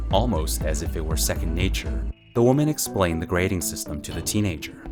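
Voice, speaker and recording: Music plays in the background as the speaker goes at a very fast pace with very wide pitch swings. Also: man, very deep, low pitch for a man. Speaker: audiobook narrator. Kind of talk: audiobook narration.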